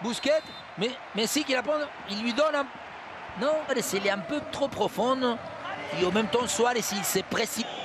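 An animated man speaks at a moderate pace with long, frequent pauses and an extremely high pitch. His pitch variation is ordinary, and there is noticeable background noise. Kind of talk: live football commentary. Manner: animated, punchy play-by-play.

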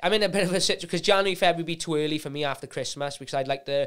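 Against a quiet background, a man with a Welsh accent talks very fast with fairly even intonation. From Wales. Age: 20s. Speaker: UFC fighter; guest. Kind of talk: casual chat. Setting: studio. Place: studio. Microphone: studio mic.

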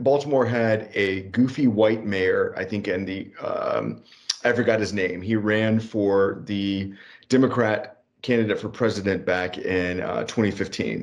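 A man with a plain, everyday voice speaks at a fairly slow pace. His medium pitch varies in an ordinary way. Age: 30s. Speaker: podcast co-host. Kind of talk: casual political discussion.

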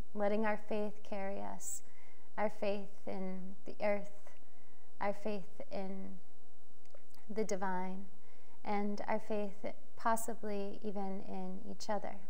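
A woman's very slow, monotone, flat delivery with long, frequent pauses. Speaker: spiritual guide channeling monthly message. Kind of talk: guided prayer, soothing channelled reading with gentle invocations of gratitude and hope. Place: home room. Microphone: lapel.

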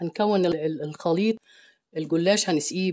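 A woman's fairly low, dark, mellow voice with an Egyptian accent, very slow and with ordinary pitch variation, on a very clean recording with a silent background. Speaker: cooking channel host. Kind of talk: cooking tutorial.

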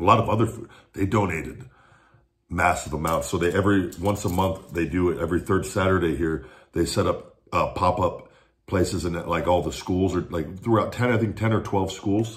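A very deep, low-pitched, somewhat breathy man's voice against a quiet background. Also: ordinary pitch variation, moderate pace. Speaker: food reviewer. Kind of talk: casual vlog chat. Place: kitchen. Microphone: phone near.

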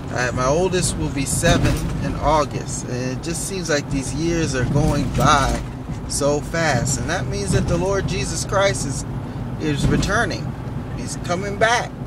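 The speech comes at a fairly slow pace with ordinary pitch variation. The sound is dry with no echo, but loud background noise runs underneath. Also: man. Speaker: driver vlogger. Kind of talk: casual vlog chat. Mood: earnest, preachy then warm. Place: car. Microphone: phone near.

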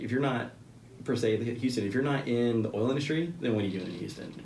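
A man speaks with an American accent and ordinary pitch variation. Audible room echo and light background noise are present. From Central Texas. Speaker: business owner and military veteran; podcast guest. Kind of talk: casual interview. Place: meeting room.

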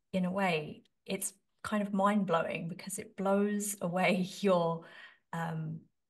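A somewhat breathy woman speaks with ordinary pitch variation against a quiet background. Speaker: podcast host. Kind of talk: interview question. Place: home room. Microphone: studio mic.

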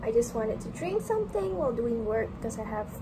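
Loud background noise runs under a woman speaking at a moderate pace. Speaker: medical student. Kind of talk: casual vlog talk to camera. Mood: relaxed, playful. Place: home room. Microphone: phone near.

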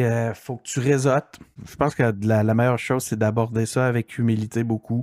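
The background is silent and the recording very clean. A man talks at a medium pitch. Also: dry, close sound with no echo. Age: 40s. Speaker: digital strategist and podcaster. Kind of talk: interview. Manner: halting, many fillers.

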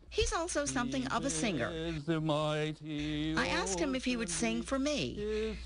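The speech moves at a fairly slow pace with hardly any pauses, over noticeable background noise. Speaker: TV news reporter. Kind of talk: TV news report.

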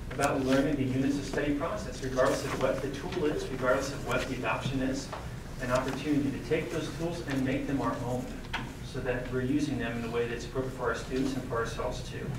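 A man speaks at a very fast pace amid noticeable background noise and audible room echo. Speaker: presenter. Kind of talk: presentation to board. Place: meeting room.

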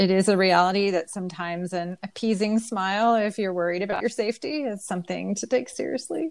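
This woman speaks at a very fast pace with hardly any pauses, at medium pitch with ordinary pitch variation. The recording is very clean with a silent background. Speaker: online high school English teacher. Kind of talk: interview discussion.

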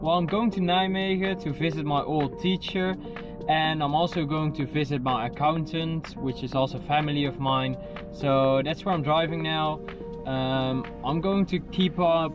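A man's voice with ordinary pitch variation, dry with no echo, over clear music in the background. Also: moderate pace. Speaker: vlogger. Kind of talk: casual vlog chat. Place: car. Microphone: phone near.

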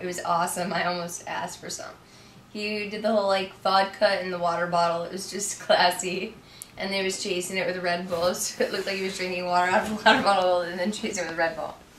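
Amid light background noise and audible room echo, a woman speaks at a fairly quick pace with monotone, flat intonation. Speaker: interviewee. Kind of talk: interview answer. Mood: relaxed, amused. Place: home room.

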